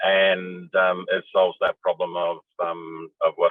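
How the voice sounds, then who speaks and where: A man in an Australian accent. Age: 60s. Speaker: panel discussant. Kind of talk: panel discussion.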